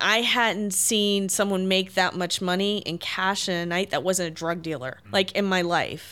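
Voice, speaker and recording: With an American accent, the voice has a bright, sharp tone, moving at a fairly slow pace with hardly any pauses and fairly even intonation. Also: woman, medium pitch for a woman. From US South, small-town Tennessee. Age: 30s. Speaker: activist. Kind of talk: interview conversation. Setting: her apartment.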